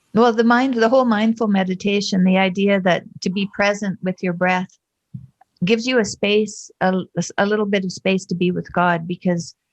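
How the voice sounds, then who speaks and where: With a Canadian accent, a woman talks at a moderate pace in an unremarkable speaking voice, her medium pitch held to fairly even intonation, and the sound is dry and close with no echo. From Canada, Alberta prairies. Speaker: massage therapist, artist. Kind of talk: interview answer. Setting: video call.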